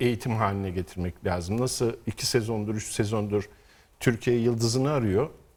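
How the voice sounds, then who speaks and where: A man is talking. His pace is moderate. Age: 50s. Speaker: rally co-driver. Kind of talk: interview. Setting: studio.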